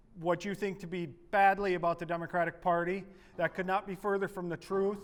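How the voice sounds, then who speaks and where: A man speaks loudly at a high pitch. His intonation is monotone and flat. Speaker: political activist presenter. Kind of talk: workshop presentation. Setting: meeting room with audience, no microphone.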